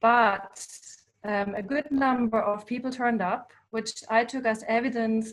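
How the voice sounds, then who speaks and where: A woman's fairly high voice in a German accent, with fairly even intonation. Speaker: visual artist. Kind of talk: online talk presentation. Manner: hesitant, many fillers.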